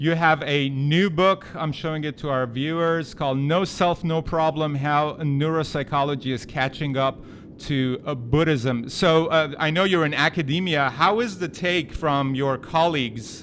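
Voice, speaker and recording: A man with a non-native accent, fairly high-pitched, at a moderate pace with hardly any pauses and ordinary pitch variation. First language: not English. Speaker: podcast host. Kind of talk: interview.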